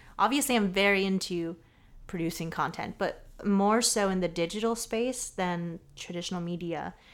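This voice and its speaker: A woman with an American accent speaks at a moderate pace and medium pitch, with ordinary pitch variation, on a very clean recording with a silent background. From Southern California. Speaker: photographer and content creator. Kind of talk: casual chat.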